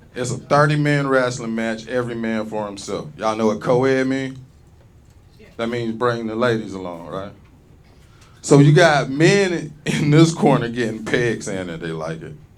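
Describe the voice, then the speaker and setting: At a moderate pace, a man talks at a medium pitch with lively intonation and big swings in loudness. Audible room echo surrounds the voice. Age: 40s. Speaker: stand-up comedian. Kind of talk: stand-up. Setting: stage with audience. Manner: animated.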